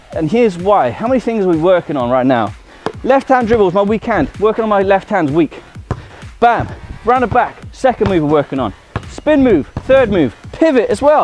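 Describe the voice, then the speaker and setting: A man talks at a moderate pace in a dry sound with no echo. Faint music plays in the background. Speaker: streetball coach. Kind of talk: tutorial. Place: garden.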